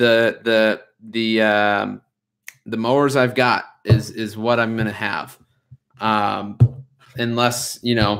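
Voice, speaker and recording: Over a quiet background, a man speaks at a very slow pace in a monotone, flat intonation with long, frequent pauses. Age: 20s. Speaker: lawn care business owner, YouTuber; YouTuber. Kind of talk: livestream chat with viewers. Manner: casual, hesitant with fillers. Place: home room. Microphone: webcam.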